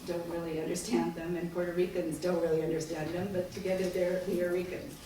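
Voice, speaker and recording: A woman speaks in a fairly low voice. Noticeable background noise and audible room echo surround her. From Japan. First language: Japanese. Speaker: business school professor. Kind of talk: lecture.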